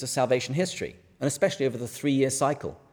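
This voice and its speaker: At a very fast pace, a man speaks in a fairly high voice. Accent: English. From England. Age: middle-aged. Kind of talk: lecture. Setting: stage with audience.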